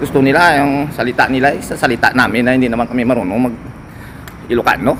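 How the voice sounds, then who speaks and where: Over noticeable background noise, a man at a medium pitch speaks with fairly even intonation. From Western Visayas, Philippines (Ilonggo). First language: Hiligaynon (Ilonggo) (speaking Tagalog). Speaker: vlogger, overseas Filipino worker. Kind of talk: casual vlog monologue.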